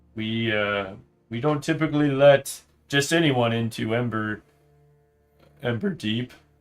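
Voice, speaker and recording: A man does a put-on character voice at a medium pitch and a fairly slow pace. Long, frequent pauses come through, with faint music in the background. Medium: actual play. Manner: formal, dignified.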